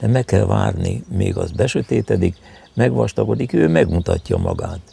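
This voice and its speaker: Music plays in the background as a man with a very deep, low pitch talks at a moderate pace. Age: 80s+. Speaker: herbalist. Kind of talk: interview. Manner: halting.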